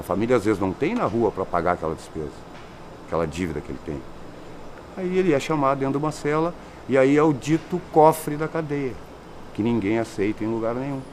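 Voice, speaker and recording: A man at medium pitch, fairly quick in pace, with very wide pitch swings and long, frequent pauses. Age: 60s. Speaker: inmate, ex-drug user. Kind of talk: testimony.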